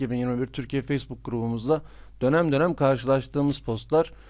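A man talks in a medium pitch. The recording is very clean and the background silent. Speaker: gaming youtuber. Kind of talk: game commentary video. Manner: fast.

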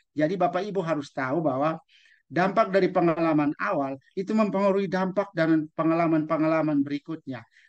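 A man speaks with a fairly high pitch and ordinary pitch variation. His pace is fairly quick against a quiet background. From East Nusa Tenggara, Indonesia. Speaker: teacher trainer, webinar speaker. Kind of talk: online webinar presentation. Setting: video call. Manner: animated. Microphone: video call.

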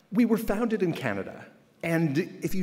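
Speaking at a fairly quick pace, a man's voice shows vocal fry. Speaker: keynote speaker. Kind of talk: keynote speech. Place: hall. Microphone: podium.

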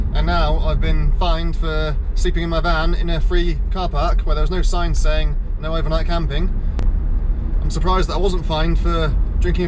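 A man speaks fairly quickly, keeping his loudness very even, while noticeable background noise is present. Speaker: ski vlogger. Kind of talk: casual vlog chat. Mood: bitter, complaining about fine. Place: car. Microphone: phone near.

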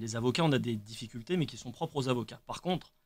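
This is a man's voice. His pace is fairly quick. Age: 20s. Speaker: trainee lawyer; radio guest. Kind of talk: radio panel discussion. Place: studio. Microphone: studio mic.

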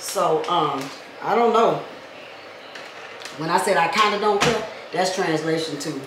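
A woman talks at an even, moderate speed while noticeable noise hums behind her and the room echoes audibly. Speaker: vlogger. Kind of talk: casual vlog chat. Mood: playful, joking. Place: kitchen. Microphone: camera far.

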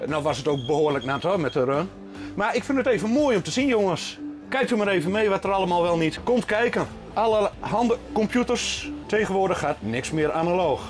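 A man speaks with a high-pitched voice. Music plays clearly in the background. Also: fairly quick pace. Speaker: amateur runner vlogger. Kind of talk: casual vlog chat.

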